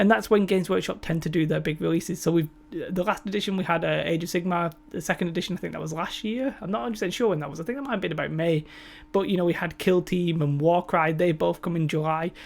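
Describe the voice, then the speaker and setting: The speaker has a British accent. The pace is very fast. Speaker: tabletop gaming YouTuber. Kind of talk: casual commentary video. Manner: halting, may stutter or slur.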